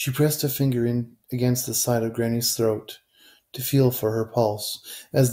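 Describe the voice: Plain reading aloud with fairly even intonation plays against a quiet background.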